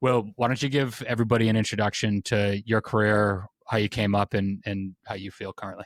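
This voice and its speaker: With an American accent, a man talks at a fairly quick pace with hardly any pauses, a fairly low pitch and monotone, flat intonation, on a very clean recording with a silent background and a dry, close sound with no echo. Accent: Boston accent, noticeable at times. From Boston, Massachusetts. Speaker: construction podcast host, engineer and general contractor. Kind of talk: casual interview conversation.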